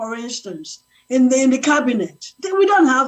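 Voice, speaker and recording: A woman's high-pitched voice with very wide pitch swings. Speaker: panel guest. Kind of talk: panel discussion. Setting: live stream.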